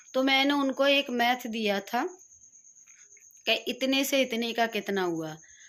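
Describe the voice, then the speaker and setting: A woman talks in a high pitch with lively intonation. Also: very clean recording, silent background. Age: 70s. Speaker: vlogger. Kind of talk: casual vlog talk. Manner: animated.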